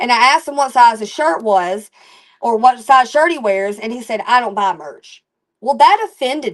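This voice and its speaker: Delivered at a moderate pace, the voice has lively intonation and big swings in loudness. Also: woman, high pitch for a woman. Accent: Alabama. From Alabama. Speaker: country rap musician. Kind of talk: interview. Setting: live stream. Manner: animated.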